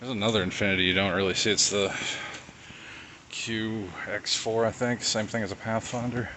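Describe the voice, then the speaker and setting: A soft-spoken man talks at a moderate pace in a fairly low, monotone voice with flat intonation. Noticeable background noise is present. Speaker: car enthusiast vlogger. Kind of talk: casual vlog narration. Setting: outdoors.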